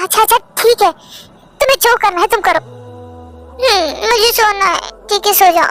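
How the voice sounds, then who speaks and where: A put-on character voice talks at a moderate pace, stopping for long, frequent pauses. Faint music plays in the background. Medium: fan dub.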